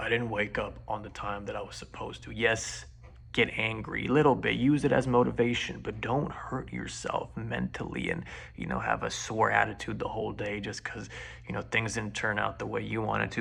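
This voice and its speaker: Moderate pacing over noticeable background noise. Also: man. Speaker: vlogger. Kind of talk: casual monologue. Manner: rambling, hesitant with fillers.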